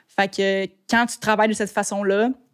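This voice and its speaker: A woman speaks at a fairly quick pace in a fairly high pitch, her voice dry and close with no echo, on a very clean recording with a silent background. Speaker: photographer and videographer. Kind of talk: podcast interview. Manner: fast.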